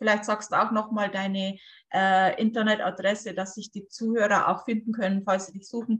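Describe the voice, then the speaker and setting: Her delivery is a monotone, flat intonation, with big swings in loudness. The woman speaks at medium pitch and a moderate pace. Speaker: podcast host. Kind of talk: casual interview. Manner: hesitant, many fillers.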